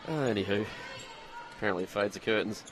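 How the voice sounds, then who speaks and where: A man with a Queensland accent at a very fast pace, medium pitch, and ordinary pitch variation, over noticeable background noise. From Queensland, Australia. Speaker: sports commentator. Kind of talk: live commentary. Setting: stadium commentary.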